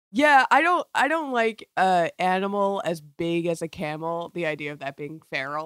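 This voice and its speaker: With an American accent and an unremarkable speaking voice, a woman at a fairly low pitch talks at a moderate pace with hardly any pauses, lively intonation and big swings in loudness, in a dry, close sound with no echo and a very clean recording with a silent background. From Florida. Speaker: podcast producer. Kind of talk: casual chat.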